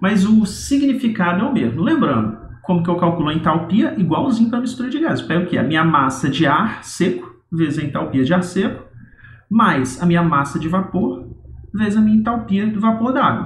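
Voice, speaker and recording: Over noticeable background noise, a man with a high pitch talks at a fairly quick pace, his pitch swinging very widely. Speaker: university lecturer. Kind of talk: recorded lecture. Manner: casual, explanatory.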